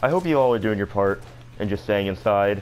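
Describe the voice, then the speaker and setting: Music plays in the background. Over it, a man with a fairly low pitch speaks with lively intonation. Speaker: gaming youtuber. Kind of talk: gameplay commentary. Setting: at home. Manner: halting, repeats words.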